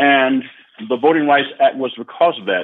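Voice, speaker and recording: Using a medium pitch for a man, a man speaks in a Southern US accent with ordinary pitch variation. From US South, Arkansas. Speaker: retired judge. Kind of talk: radio interview.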